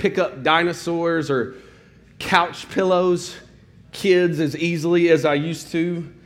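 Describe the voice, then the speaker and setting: A man speaks in a high pitch at a fairly slow pace. Audible room echo is present. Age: 40s. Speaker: pastor. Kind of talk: sermon.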